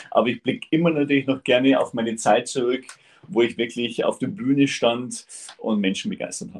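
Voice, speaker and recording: Lively intonation marks this man's unremarkable speaking voice at a medium pitch. He talks at a fairly quick pace. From Upper Bavaria. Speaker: part-time farmer and motivational speaker. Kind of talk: interview.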